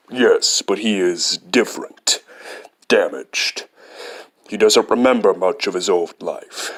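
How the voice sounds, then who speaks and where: Someone uses a put-on character voice at a fairly slow pace. Long pauses come often. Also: man. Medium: fan dub. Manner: earnest, blunt.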